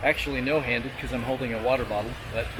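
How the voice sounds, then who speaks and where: Amid noticeable background noise, a man of medium pitch speaks in a relaxed tone with monotone, flat intonation. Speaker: travel vlogger. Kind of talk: vlog narration while hiking. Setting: outdoors on a hiking trail. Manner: whispering; casual, relaxed.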